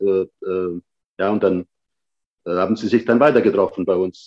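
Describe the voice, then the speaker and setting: The sound is dry and close, with no echo. A man talks at a moderate pace. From Sicily (Patti), moved to Germany at seven. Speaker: restaurant owner. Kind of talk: casual interview. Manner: halting, many fillers.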